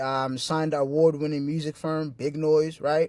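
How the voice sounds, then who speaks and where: A man with a fairly high pitch is heard on a very clean recording with a silent background. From refugee camp, moved to US in 2004. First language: not English. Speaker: independent music artist and entrepreneur. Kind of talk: motivational presentation. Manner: animated; casual, profane.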